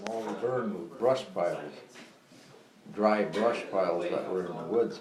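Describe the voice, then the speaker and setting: Noticeable background noise sits behind this man. He talks at a moderate pace with a fairly low pitch. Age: 90s. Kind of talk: storytelling about making maple syrup. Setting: family holiday gathering with side conversations.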